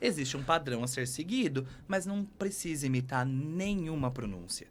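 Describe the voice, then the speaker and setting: Delivered at a moderate pace, an ordinary speaking voice moves with lively intonation. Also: man, fairly high pitch for a man. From Brazil. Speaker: English teacher. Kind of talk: podcast interview.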